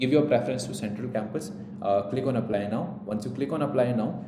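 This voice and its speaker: Spoken at a very fast pace in an Indian accent, the voice has ordinary pitch variation, with audible room echo and noticeable background noise. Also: man. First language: Hindi. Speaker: entrance exam coach. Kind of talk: tutorial.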